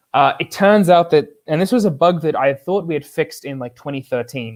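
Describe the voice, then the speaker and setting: A man speaks with ordinary pitch variation. The recording is very clean with a silent background, and the sound is dry and close with no echo. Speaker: software engineer, container runtime maintainer. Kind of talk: technical talk. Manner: fast; filler-heavy.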